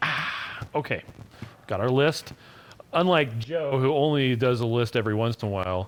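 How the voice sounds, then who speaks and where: A man speaks at a medium pitch with an American accent. Noticeable background noise runs behind him. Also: ordinary pitch variation, moderate pace. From Utah. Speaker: business owner and live stream host. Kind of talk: casual live stream chat. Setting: live video stream. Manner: loud. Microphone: new cheap headset microphone.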